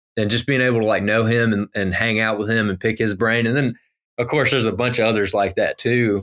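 Fairly quick speech with an American accent, very even in loudness, with a dry, close sound and no echo in a very clean recording with a silent background. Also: man. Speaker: podcast host and GIS professional, deer hunter. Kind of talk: casual interview chat. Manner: animated, filler-heavy.

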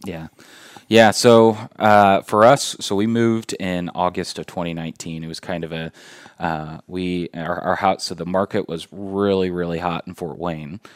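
With a Midwestern American accent, a man speaks in a very deep, low pitch at a moderate pace, his intonation fairly even but his loudness swinging widely. The sound is dry and close with no echo, on a very clean recording with a silent background. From Indiana, Indianapolis (Beech Grove). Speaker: corporate employee and local resident. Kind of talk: casual interview. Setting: studio. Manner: hesitant, many fillers.

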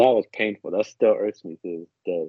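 This is a plain, everyday voice from a man with an American accent. He keeps a medium pitch and a moderate pace. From New Jersey. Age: 20s. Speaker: soccer podcast panelist. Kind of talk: casual chat. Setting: remote call.

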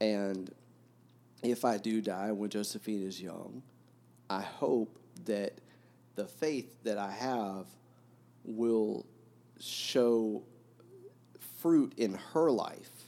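Very slow, fairly low-pitched male speech with a dark, mellow tone, ordinary pitch variation and long, frequent pauses. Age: 40s. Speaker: book podcast host. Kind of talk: casual chat.

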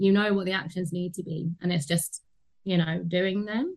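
A somewhat breathy woman's voice at a moderate pace, with a London accent. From London, England (Tottenham). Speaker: anti-racism consultant. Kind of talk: interview conversation.

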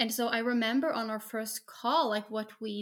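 In a very clean recording with a silent background, a woman talks with a Norwegian accent. Her pitch is fairly high and her pace moderate. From Norway. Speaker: special education teacher. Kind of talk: casual chat.

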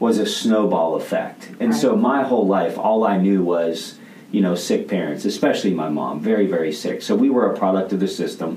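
Speaking in a fairly low pitch with lively intonation and an American accent, a man is heard with audible room echo and noticeable background noise. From rural US. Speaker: podcaster and leadership coach. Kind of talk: interview. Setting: studio.

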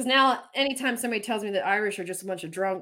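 A woman's medium-pitched voice with lively intonation, an ordinary speaking voice. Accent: American. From Pennsylvania Dutch country, US. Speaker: podcast host and whistleblower. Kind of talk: casual political chat.

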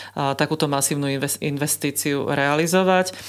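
A woman speaks at a very deep, low pitch in a very clean recording with a silent background. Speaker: university rector. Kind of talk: interview.

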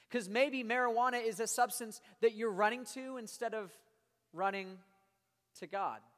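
Someone with an American accent talks in an animated tone at a moderate pace. Long pauses come often. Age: 20s. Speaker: youth pastor. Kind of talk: sermon to middle-school students. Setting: youth service with live audience.

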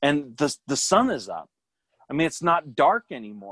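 With an ordinary speaking voice and lively intonation, a man talks at a moderate pace on a very clean recording with a silent background and a dry, close sound with no echo. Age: 40s. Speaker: army veteran. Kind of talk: casual chat.

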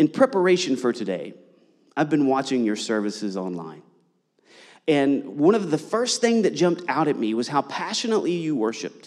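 Speaking at a fairly quick pace, a man with an American accent swings his pitch very widely. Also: fairly high pitch for a man. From US, Eastern Kentucky (Appalachia). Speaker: visiting pastor. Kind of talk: sermon. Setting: church.

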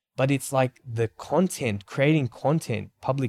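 A man's somewhat breathy, medium-pitched voice at a moderate pace, with ordinary pitch variation, a dry, close sound with no echo, and a very clean recording over a silent background. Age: 30s. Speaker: podcast co-host, marketing agency co-founder. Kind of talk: casual chat. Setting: studio. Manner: animated.

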